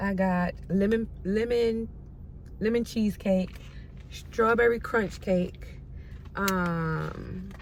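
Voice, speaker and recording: A woman's voice comes with audible room echo. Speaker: lifestyle vlogger. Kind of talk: casual vlog talk. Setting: at home. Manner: stutters.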